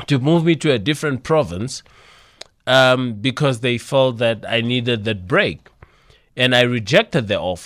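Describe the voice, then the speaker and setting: A normal speaking voice from a man, medium in pitch, at a moderate pace with lively intonation, on a very clean recording with a silent background. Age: 30s. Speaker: entrepreneur and motivational speaker. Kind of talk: radio interview.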